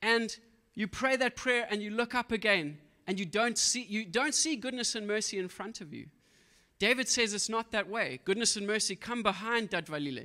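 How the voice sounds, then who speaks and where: Speaking at a moderate pace against a quiet background, a man projects a raised voice that is high for a man, with a bright, sharp tone, an animated delivery and ordinary pitch variation. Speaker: preacher. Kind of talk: sermon. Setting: church. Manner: animated, exhorting. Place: church. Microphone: handheld.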